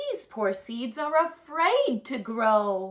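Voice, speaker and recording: A woman performs a put-on character voice at a high pitch. Her pace is very slow. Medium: read story. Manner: calm, patient.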